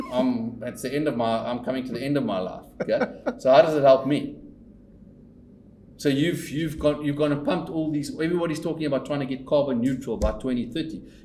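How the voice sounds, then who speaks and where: With audible room echo, a man talks at a fairly quick pace in a fairly high pitch. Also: ordinary pitch variation. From South Africa, Pretoria. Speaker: company owner and investor. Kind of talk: casual chat. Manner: animated; repetitive stammering restarts.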